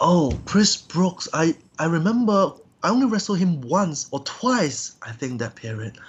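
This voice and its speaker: This man speaks at a fairly slow pace with a Cantonese accent. His pitch is high, swinging very widely. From Hong Kong. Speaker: professional wrestler. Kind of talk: interview. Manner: halting.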